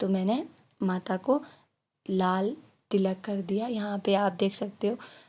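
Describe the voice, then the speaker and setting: A woman with a medium pitch speaks in a dark, mellow tone over a quiet background. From rural northern India. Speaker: vlogger. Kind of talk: ritual tutorial. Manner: casual, with hesitations.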